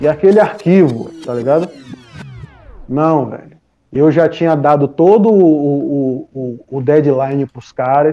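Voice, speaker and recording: A man with a fairly high pitch speaks fairly slowly, his pitch varying in an ordinary way. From Brazil, Salvador, Bahia. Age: 40s. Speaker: music producer and DJ. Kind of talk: casual interview chat.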